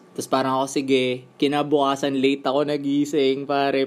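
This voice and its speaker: The speaker is a man with a fairly high voice. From Philippines. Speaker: podcast host, tattoo artist. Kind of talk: casual interview.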